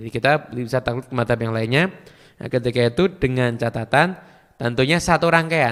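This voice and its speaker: With a Madurese accent, a man speaks at a moderate pace and medium pitch, his pitch varying in an ordinary way. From Madura, Indonesia. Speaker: Islamic preacher. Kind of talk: religious Q&A lecture.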